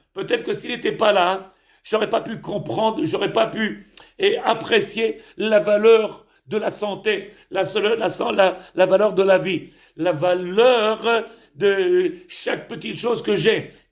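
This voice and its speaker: This man talks very slowly at a high pitch, with ordinary pitch variation. The room echo is audible. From Tunisia. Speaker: rabbi. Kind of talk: sermon. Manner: halting, repetitive.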